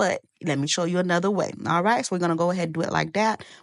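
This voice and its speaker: A woman speaks at a very fast pace in an animated tone, medium in pitch with ordinary pitch variation. The sound is dry and close with no echo, against a quiet background. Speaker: cooking channel host. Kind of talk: cooking tutorial.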